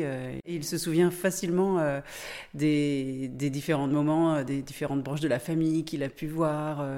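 The voice has a dark, mellow tone. It moves at a fairly slow pace with fairly even intonation. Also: woman. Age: 40s. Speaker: volunteer host parent. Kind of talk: interview.

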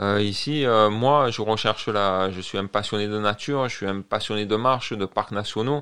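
On a very clean recording with a silent background, a plain, everyday voice keeps ordinary pitch variation at a moderate pace. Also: man. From Marseille, southern France. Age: 40s. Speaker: French immigrant in Canada. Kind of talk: casual interview. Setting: studio.

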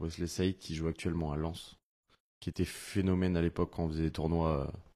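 Against a quiet background, a man talks in a very deep, low voice with fairly even intonation. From Finistère, Brittany, France. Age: 30s. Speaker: professional footballer. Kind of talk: casual interview.

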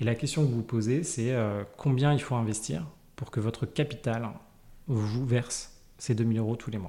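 Over a silent background on a very clean recording, a man with a dark, mellow tone and medium pitch talks at a moderate pace with ordinary pitch variation. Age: 30s. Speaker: early retiree and financial independence advocate. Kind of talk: interview. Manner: halting.

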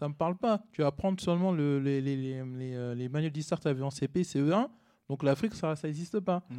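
In a dark, mellow tone, a man with a fairly high pitch talks at a moderate pace with ordinary pitch variation. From Paris region, France (Cergy-Pontoise). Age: 30s. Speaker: content creator. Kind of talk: casual chat.

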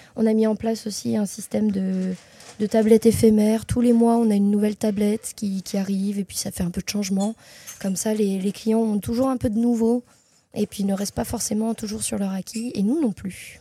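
A woman with a fairly high pitch speaks in a dark, mellow, somewhat breathy tone, her intonation monotone and flat. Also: fairly quick pace, dry, close sound with no echo. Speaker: graphic designer and marketer. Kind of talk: interview. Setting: chocolate shop.

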